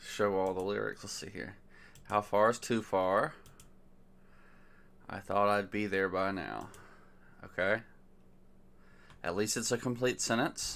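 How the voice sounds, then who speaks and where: Soft-spoken, mumbling speech comes at a fairly slow pace with long, frequent pauses, on a very clean recording with a silent background. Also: man, fairly low pitch for a man, fairly even intonation. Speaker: worship song reviewer. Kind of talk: casual commentary review.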